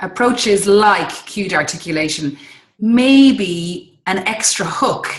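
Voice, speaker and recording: A woman speaks with an Irish accent. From Ireland. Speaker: interviewer, English teacher trainer. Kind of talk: interview.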